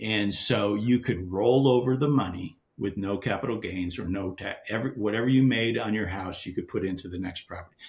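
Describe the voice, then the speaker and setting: A somewhat breathy voice moves at a fairly quick pace with ordinary pitch variation. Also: man. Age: 60s. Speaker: real estate investor. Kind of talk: podcast interview. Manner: halting.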